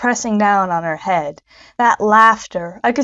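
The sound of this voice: Quiet background behind an unforced reading voice of ordinary pitch variation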